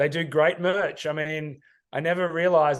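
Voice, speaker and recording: A man speaks with an Australian accent and a fairly high pitch. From Australia, Sydney. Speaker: ad tech sales executive. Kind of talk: interview. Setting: studio.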